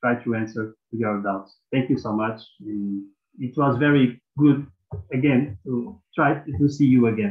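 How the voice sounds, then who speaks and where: With a Portuguese accent, a man speaks at a fairly slow pace. His pitch is medium, with ordinary variation. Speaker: mobile librarian. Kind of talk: conference presentation. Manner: halting.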